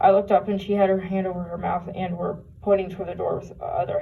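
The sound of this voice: A passage is read. The voice is unforced.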